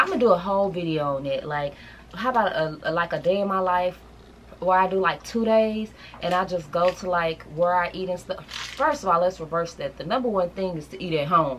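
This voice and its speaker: A woman speaks at a fairly quick pace with ordinary pitch variation. Light background noise can be heard. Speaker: lifestyle vlogger. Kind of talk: casual vlog chat. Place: home room.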